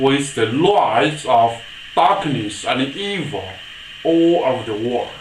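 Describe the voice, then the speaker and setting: Noticeable background noise surrounds a man at medium pitch. His intonation is lively and his pace very slow. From China. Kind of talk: political address to camera.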